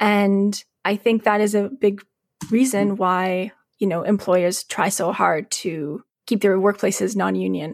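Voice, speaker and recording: In a western Canadian accent, a woman with a medium pitch and fairly even intonation speaks at a fairly slow pace on a very clean recording with a silent background. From Calgary, Alberta, western Canada. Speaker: labor journalist and newsletter editor. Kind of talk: podcast interview.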